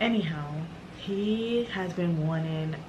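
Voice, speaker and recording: The voice moves through ordinary pitch variation, with noticeable background noise and audible echo from the room. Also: woman. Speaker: lifestyle vlogger. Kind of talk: casual chat. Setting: at home. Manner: halting; soft-spoken.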